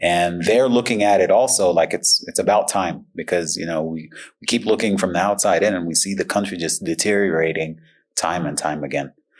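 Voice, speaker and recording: This man's voice is very deep and low, with ordinary pitch variation and a fairly quick pace. The background is quiet. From Sudan. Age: 40s. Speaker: journalist and researcher. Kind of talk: interview. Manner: hesitant, many fillers.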